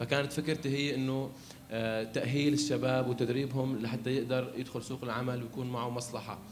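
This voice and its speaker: The delivery comes at a moderate pace with monotone, flat intonation. Noticeable background noise and audible room echo are present. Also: man. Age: 20s. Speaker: barber and entrepreneurship facilitator. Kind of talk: panel talk. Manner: halting.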